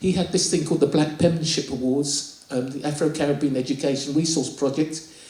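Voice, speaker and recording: The speech moves at a fairly quick pace. Noticeable background noise sits under it. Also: man. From southern England (Bromley, Kent), Nigerian-born. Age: 60s. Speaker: poet. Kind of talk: interview. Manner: halting.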